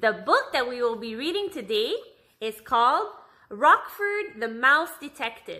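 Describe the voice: What's heard is plain reading aloud.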